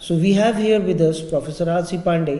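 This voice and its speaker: There is audible room echo around a man talking. His pitch is high, with ordinary variation. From India. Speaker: webinar moderator. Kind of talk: formal interview. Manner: formal. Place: hall.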